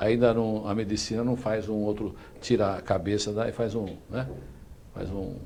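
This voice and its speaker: A man speaks at a fairly slow pace with a fairly low pitch and monotone, flat intonation. Audible room echo surrounds his voice. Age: 60s. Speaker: talk show host. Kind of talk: interview; show sign-off. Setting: online live show.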